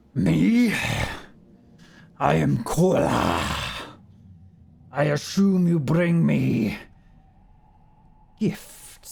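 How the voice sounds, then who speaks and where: A man speaks in a put-on character voice with a fairly high pitch. His pace is very slow, broken by long, frequent pauses. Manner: imperious, grand.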